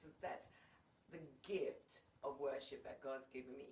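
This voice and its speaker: In a room with audible echo, a woman speaks at a moderate pace in a fairly low pitch. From England. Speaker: worship leader and singer. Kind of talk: casual interview.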